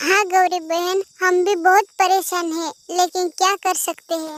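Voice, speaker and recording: A woman speaks in a cartoonish character voice, pitched extremely high, at a moderate pace. Her intonation stays fairly even, and the sound is dry and close with no echo. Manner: soft, polite.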